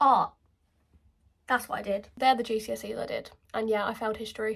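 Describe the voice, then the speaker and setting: A woman with a southern English accent speaks at a fairly quick pace. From England, Kent. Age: 20s. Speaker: beauty vlogger. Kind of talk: casual chat. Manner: animated.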